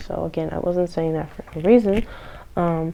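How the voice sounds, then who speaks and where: A woman with an ordinary speaking voice, fairly low pitch, ordinary pitch variation and a moderate pace. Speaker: tarot reader. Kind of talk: tarot reading to camera. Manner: many filler words.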